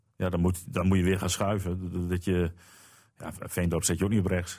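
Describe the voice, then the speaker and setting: A man's very deep, low voice, dark and mellow in tone, with fairly even intonation on a very clean recording against a silent background. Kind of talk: casual chat.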